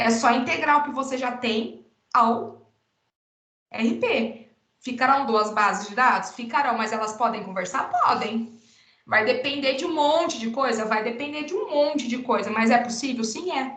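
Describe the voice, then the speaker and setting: Her pitch is high, and this woman speaks at a fairly slow pace with ordinary pitch variation. Audible room echo surrounds her voice. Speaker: university teacher. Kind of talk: lecture. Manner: animated.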